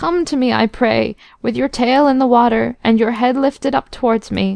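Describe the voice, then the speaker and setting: A woman uses a put-on character voice, pitched high and a bit shaky. She keeps a moderate pace. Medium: read story.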